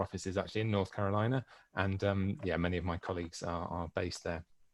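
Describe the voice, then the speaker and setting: Against a quiet background, a man with a British accent speaks at a fairly low pitch. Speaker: publisher sales manager. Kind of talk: conference presentation. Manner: halting, many fillers.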